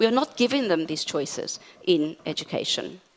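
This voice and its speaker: Her pitch rises and falls across a very wide range. The woman keeps a moderate pace. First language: Portuguese. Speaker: academic conference speaker. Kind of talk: conference talk.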